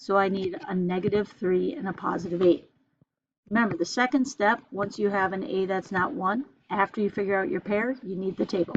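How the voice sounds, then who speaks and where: Talking at a moderate pace, a woman at medium pitch uses ordinary pitch variation in a plain, everyday voice. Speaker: math teacher. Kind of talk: lecture.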